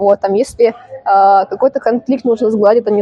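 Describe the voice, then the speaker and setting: Music in the background behind a woman at a moderate pace, medium in pitch, with ordinary pitch variation. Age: 20s. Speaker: bartender. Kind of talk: casual chat.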